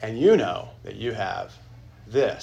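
A man's voice carries audible echo from the room. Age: 40s. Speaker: pastor teaching a church class. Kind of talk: Sunday school lecture. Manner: halting.

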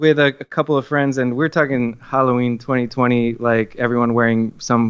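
A man with an American accent speaks in a plain, everyday voice at medium pitch, with hardly any pauses, fairly even intonation and very even loudness. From Miami, Florida. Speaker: filmmaker guest. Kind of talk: casual interview.

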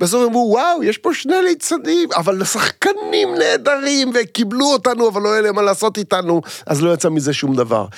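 The voice holds a very even loudness at a moderate pace, with very wide pitch swings. Noticeable background noise can be heard. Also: man, high pitch for a man. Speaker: actor and comedian. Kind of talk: casual chat.

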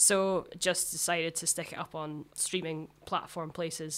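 A woman in a Glaswegian accent with fairly even intonation, on a very clean recording against a silent background. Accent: Glaswegian Scottish. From Scotland, Glasgow south side. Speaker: musician. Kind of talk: casual chat.

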